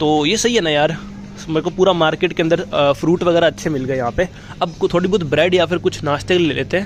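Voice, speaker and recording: Noticeable background noise can be heard throughout. The voice rises and falls in pitch in an ordinary way. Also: man. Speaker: travel vlogger. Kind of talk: walking vlog narration. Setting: supermarket. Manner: casual, conversational.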